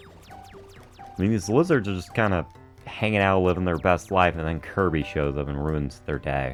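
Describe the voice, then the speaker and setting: A man with a very deep, low pitch talks at a moderate pace while music plays in the background. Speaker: let's play gamer. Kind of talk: casual gameplay commentary. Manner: slight stutter.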